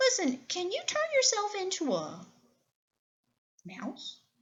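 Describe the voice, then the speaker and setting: Putting on a character voice, a woman speaks fairly slowly in a squeaky, extremely high pitch. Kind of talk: bedtime story. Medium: read story. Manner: smooth, persuasive.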